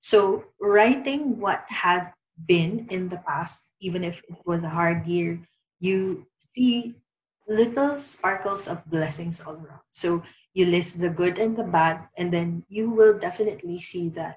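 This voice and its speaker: Ordinary pitch variation, a somewhat breathy sound and a fairly slow pace. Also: woman, medium pitch for a woman. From Philippines. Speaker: reiki practitioner, COVID survivor. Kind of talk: interview.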